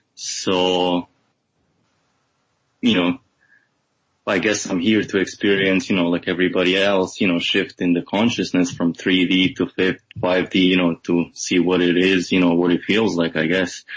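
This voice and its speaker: A man with a non-native accent speaks at a moderate pace in a very deep, low pitch, with monotone, flat intonation and very even loudness. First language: not English. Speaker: client guest. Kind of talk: testimony.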